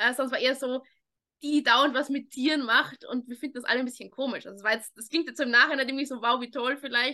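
In a raised, projected voice with a bright, sharp tone, a woman speaks at a very fast pace in a high pitch with fairly even intonation. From Austria, Vienna. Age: 20s. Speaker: dog trainer. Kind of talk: interview.

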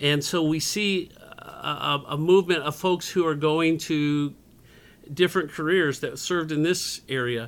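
A plain, everyday voice at a fairly slow pace, with fairly even intonation. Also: man, fairly high pitch for a man. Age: 50s. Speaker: community center director. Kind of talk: interview.

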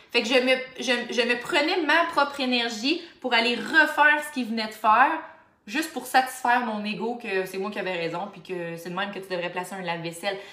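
Over noticeable background noise and audible room echo, a woman with a Quebec accent and fairly high pitch talks at a fairly quick pace, her intonation lively and her loudness swinging widely. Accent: Québécois French. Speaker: life coach. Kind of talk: solo motivational podcast monologue. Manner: fast.

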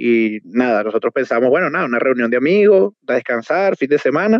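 It is a normal speaking voice from a man. He talks at a fairly quick pace with lively intonation. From Venezuela, Trujillo state (Valera). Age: 20s. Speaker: restaurant entrepreneur. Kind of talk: interview.

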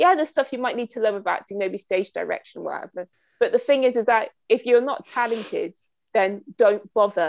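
Over a quiet background, a woman speaks at a fairly quick pace. Her high voice carries lively intonation. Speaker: podcast host. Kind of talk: casual chat.

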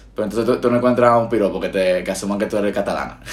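A man speaks with a fairly low pitch. Noticeable background noise runs under his voice. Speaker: podcast host. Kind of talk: casual chat. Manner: projected, announcer-like tone.

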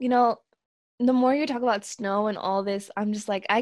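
A woman's medium-pitched voice at a moderate pace with ordinary pitch variation, an ordinary speaking voice. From US West Coast, Southern California and Oregon; born in Mexico. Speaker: podcast co-host. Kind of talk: casual chat.

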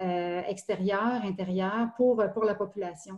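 Here a woman talks at a medium pitch with fairly even intonation. Her tone is dark and mellow. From Quebec, Estrie. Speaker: municipal recreation director. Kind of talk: interview. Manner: halting.

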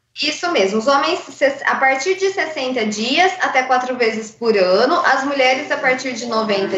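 High-pitched woman's voice with very wide pitch swings, audible room echo and noticeable background noise. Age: 30s. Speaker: blood bank donor relations worker. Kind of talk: radio interview.

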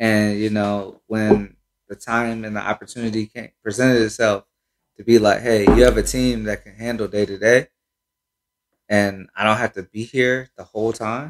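A man with an American accent speaks at a moderate pace in a flat, monotone way, his loudness swinging widely. The sound is dry and close with no echo. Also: fairly low pitch for a man. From Cincinnati, Ohio, US Midwest. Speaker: sneaker shop owner. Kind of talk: casual chat.

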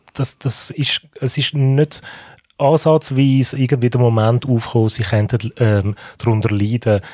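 In a Swiss accent, a man with a dark, mellow tone speaks at a fairly slow pace on a very clean recording with a silent background. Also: medium pitch for a man, fairly even intonation. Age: 40s. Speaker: podcast co-host. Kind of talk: casual chat.

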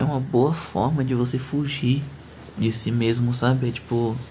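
Audible room echo surrounds a man's somewhat breathy voice at a medium pitch. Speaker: podcaster. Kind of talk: casual monologue.

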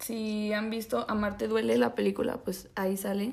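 Speaking very slowly, a woman with a Mexican accent has a fairly high pitch. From Mexico, Zacatecas. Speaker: podcast co-host. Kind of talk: casual chat. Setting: video call.

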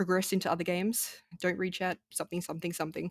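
Speaking at a very fast pace, a woman with an Australian accent has a medium pitch in a dry, close sound with no echo. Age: 20s. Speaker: video game streamer. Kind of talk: casual chat.

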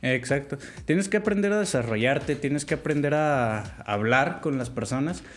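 Speaking with a plain, everyday voice, a man uses lively intonation at a fairly high pitch and a moderate pace. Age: 20s. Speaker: programming student. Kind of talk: casual interview chat.

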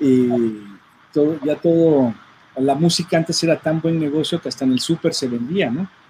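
Against noticeable background noise, a man talks with a fairly high pitch. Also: ordinary pitch variation, moderate pace. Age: 40s. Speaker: audio engineer and record producer. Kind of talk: casual chat.

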